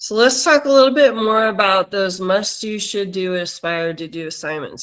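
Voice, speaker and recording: Recorded very cleanly over a silent background, a woman with an unremarkable speaking voice talks at a medium pitch. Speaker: teacher trainer. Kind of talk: virtual training workshop.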